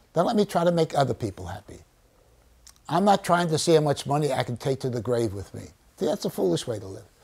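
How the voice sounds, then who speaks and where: The speaker has an American accent and vocal fry. The pitch swings very widely at a fairly quick pace. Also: man. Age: 80s+. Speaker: children's author and storyteller. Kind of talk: teaching children in a class discussion. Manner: animated.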